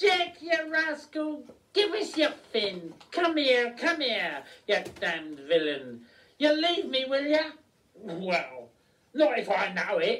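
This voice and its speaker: This put-on character voice sits high in pitch. It moves at a fairly slow pace. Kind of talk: comic nautical bluster. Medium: stage play. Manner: blustering, loud.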